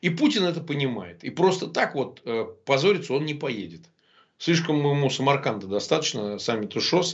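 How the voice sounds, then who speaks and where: A man talks at a moderate pace with lively intonation and some vocal fry. The background is quiet. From Russia. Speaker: lawyer and opposition blogger; lawyer, opposition blogger. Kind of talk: interview. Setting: remote link. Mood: confident, argumentative. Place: home room. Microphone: webcam.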